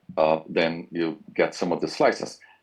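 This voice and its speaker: A man with a Brazilian accent speaks at a moderate pace. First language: Portuguese. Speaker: university professor. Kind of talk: interview.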